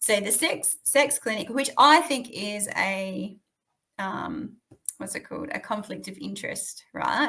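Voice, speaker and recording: With an Australian accent, a woman speaks at a fairly slow pace with big swings in loudness. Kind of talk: interview answer.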